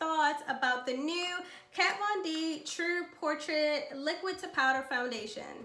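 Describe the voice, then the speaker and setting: A woman speaks in a raised, projected voice at a fairly slow pace. Her intonation is lively. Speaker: beauty YouTuber. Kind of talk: casual talk to camera.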